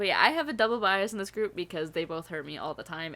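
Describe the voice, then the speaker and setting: An animated woman's voice with an American accent and a bright, sharp tone. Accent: occasional Southern accent slips. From upstate New York. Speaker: YouTube reaction channel host. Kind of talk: casual chat; channel promo.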